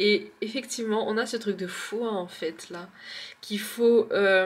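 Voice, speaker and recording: A woman's medium-pitched voice at a very slow pace with fairly even intonation. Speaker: tarot card reader. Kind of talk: tarot card reading. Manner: hesitant.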